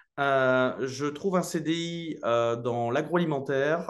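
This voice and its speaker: The voice belongs to a man with a medium pitch. Lively intonation runs through his speech. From northern France, Lille. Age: 20s. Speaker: real estate investor. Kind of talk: interview. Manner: casual, many hesitations.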